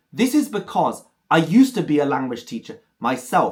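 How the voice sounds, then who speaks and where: Talking at a fairly quick pace, a man uses a high-pitched voice. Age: 30s. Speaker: language teacher and polyglot. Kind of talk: tutorial. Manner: clear, careful enunciation.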